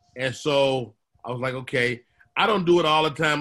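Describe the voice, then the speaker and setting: A man speaks with a bright, sharp tone at a fairly high pitch. The recording is very clean, with a silent background. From Chicago, South Side. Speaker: comedian. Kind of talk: casual chat.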